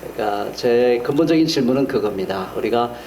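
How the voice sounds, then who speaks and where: A man's medium-pitched voice with ordinary pitch variation, in audible room echo and noticeable background noise. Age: 60s. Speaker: pastor. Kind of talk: sermon.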